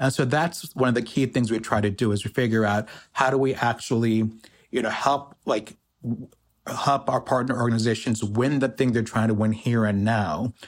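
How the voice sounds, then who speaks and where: A man speaks in a plain, everyday voice with an American accent, at a moderate pace and with fairly even intonation. The recording is very clean, with a silent background. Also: medium pitch for a man, very even loudness. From US, Pakistani immigrant family. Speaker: economic justice organizer. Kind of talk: interview.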